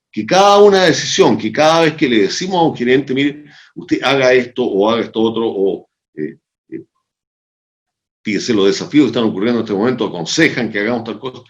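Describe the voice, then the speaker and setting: Moving at a fairly quick pace, a man with a medium pitch makes very wide pitch swings. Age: 70s. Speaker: sociologist and organizational consultant. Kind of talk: interview conversation. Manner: animated.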